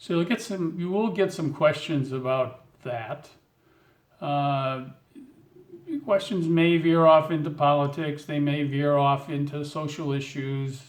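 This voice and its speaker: Speaking at a fairly slow pace, a man with a fairly high pitch and ordinary pitch variation has a normal speaking voice. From United States. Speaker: vlogger giving advice to newcomers. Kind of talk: casual talk to camera.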